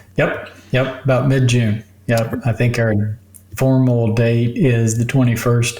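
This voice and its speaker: Against noticeable background noise, a man speaks very slowly in a monotone, flat delivery with very even loudness. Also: medium pitch for a man. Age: 60s. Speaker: physician. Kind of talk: interview.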